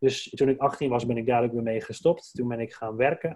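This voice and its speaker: Moderate-paced speech from a man, somewhat breathy, with a dark, mellow tone. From Drenthe, Netherlands (Dwingeloo). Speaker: entrepreneur, brand strategist. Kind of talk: casual interview. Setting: indoor podcast recording.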